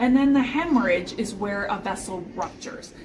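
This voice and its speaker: A woman with an American accent speaks with ordinary pitch variation, with audible room echo and noticeable background noise. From Chicago, US Midwest. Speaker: podcast host explaining stroke signs. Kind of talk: educational explanation in conversation. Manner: loud.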